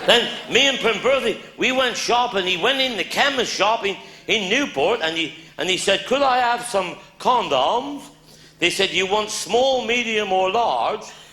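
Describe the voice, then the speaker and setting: A man with a Cornish accent, high in pitch and fairly slow, his voice raised and projected, his intonation lively, over noticeable background noise. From Cornwall. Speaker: comedian. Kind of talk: live stand-up comedy storytelling.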